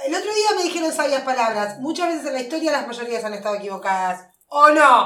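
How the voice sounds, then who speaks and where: Raised and projected, a woman's high voice has a bright, sharp tone, very wide pitch swings and a fairly quick pace with hardly any pauses. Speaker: podcast co-host. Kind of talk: casual chat.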